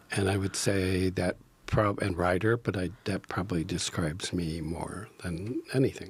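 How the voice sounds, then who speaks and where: A man speaks with a very deep, low pitch and a somewhat breathy voice. His intonation is fairly even, and his pace is moderate. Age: 70s. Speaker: improv actor and teacher. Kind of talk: podcast interview. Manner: halting, many fillers; soft-spoken.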